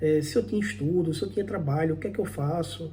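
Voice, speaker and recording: With a dark, mellow tone, vocal fry and a fairly high pitch, a man talks at a moderate pace with lively intonation amid audible room echo. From Brazil, Pernambuco backlands (Northeast). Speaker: immigrant vlogger, programmer. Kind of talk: personal vlog monologue. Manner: conversational, some halting repetitions.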